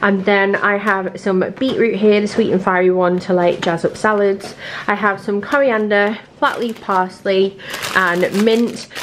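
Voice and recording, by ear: With faint background noise, a woman speaks at medium pitch with fairly even intonation and few pauses. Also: fairly slow pace.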